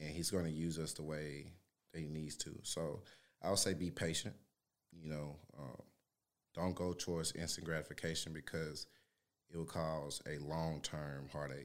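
A man speaks at a very deep, low pitch in a monotone, flat intonation. His pace is moderate, broken by long, frequent pauses. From Louisiana, Shreveport. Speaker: former prisoner, fitness trainer. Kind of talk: casual interview.

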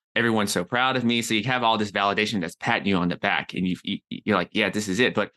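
A man speaks with an American accent and a bright, sharp tone, fairly low in pitch with ordinary pitch variation. The sound is dry and close with no echo, over a quiet background. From US South. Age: 30s. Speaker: health coach and entrepreneur. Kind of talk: interview podcast.

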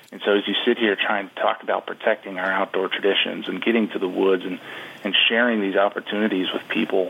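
With an American accent, a man talks at a fairly quick pace in a fairly low pitch and a monotone, flat intonation, with noticeable background noise behind him. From Wisconsin, US Upper Midwest. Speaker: advocacy group CEO, hunter. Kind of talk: radio interview.

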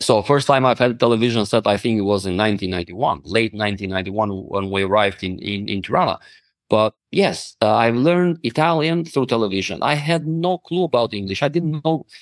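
In an Albanian accent, a man speaks at a moderate pace with very wide pitch swings, the sound dry and close with no echo. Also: medium pitch for a man, hardly any pauses, very clean recording, silent background. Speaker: motivational speaker and lawyer. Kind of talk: podcast interview.

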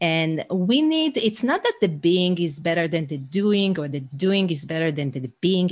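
Against a quiet background, a woman with an Israeli accent speaks in a fairly low, somewhat breathy voice with lively intonation. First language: Hebrew. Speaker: leadership coach. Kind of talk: casual interview. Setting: remote call.

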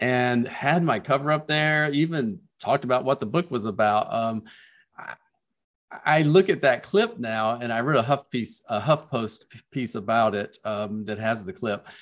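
On a very clean recording with a silent background, a man speaks with a Southern US accent. His loudness swings widely while his pitch varies an ordinary amount. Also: medium pitch for a man, moderate pace. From US South. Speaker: children's book author. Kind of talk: casual interview chat.

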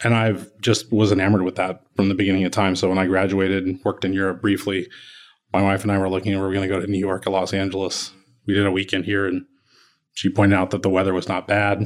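On a very clean recording with a silent background, a man with an American accent talks at a very fast pace in a fairly low pitch with monotone, flat intonation. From Kansas City, Missouri. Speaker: architect. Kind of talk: interview. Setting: office.

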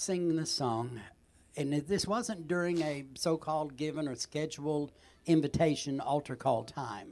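A man talks at a moderate pace in a plain, everyday voice. His pitch is fairly high. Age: 60s. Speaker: gospel recording artist. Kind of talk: casual chat.

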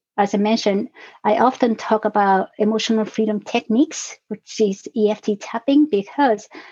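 The voice has a dark, mellow tone and fairly even intonation. The sound is dry and close with no echo. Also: woman. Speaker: podcast guest, emotional wellness coach. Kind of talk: calm, explanatory. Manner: speaks slowly and deliberately.

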